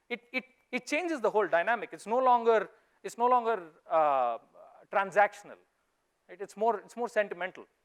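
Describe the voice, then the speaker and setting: A man with a Goan accent and a high voice speaks at a fairly quick pace with lively intonation and big swings in loudness, in a dry, close sound with no echo. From India, Mangalore. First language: Konkani. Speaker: investor. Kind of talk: conference talk. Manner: animated.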